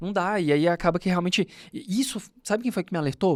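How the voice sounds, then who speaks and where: In a very clean recording with a silent background, a man with a high pitch talks very fast, using ordinary pitch variation. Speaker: podcast host, law professor and lawyer. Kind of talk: casual chat.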